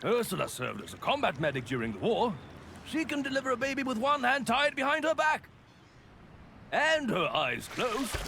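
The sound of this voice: A man performs a put-on character voice at an extremely high pitch with big pitch swings. His tone is bright and sharp, with vocal fry, at a moderate pace.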